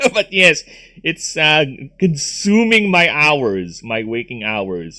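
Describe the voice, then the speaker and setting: A bright, sharp-toned voice moves at a fairly slow pace with very wide swings in pitch. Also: man. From Philippines. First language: Tagalog or another Philippine language. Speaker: gaming streamer. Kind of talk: casual chat. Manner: halting, many fillers.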